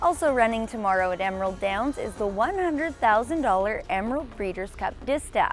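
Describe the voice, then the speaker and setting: A woman speaks at a fairly high pitch with lively intonation. Music plays in the background. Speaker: track announcer / racing reporter. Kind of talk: TV news-style report.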